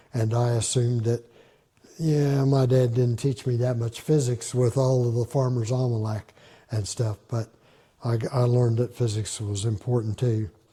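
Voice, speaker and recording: At a moderate pace, a man with an American accent speaks at a medium pitch in a dark, mellow, somewhat breathy voice with fairly even intonation. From Southern Indiana. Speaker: retired math and physics teacher. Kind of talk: oral history interview answer.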